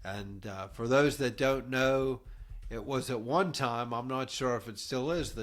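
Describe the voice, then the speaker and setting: Speaking at a fairly slow pace, a man with an American accent and an unremarkable speaking voice holds a medium pitch with ordinary pitch variation. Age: 60s. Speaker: podcast host. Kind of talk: casual chat.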